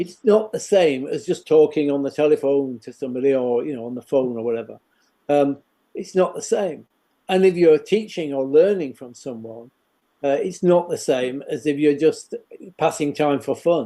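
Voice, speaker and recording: A man speaks at a moderate pace with a dark, mellow tone and a fairly high pitch. His pitch varies in an ordinary way, while his loudness swings widely. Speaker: education professor. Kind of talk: interview. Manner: hesitant, many fillers.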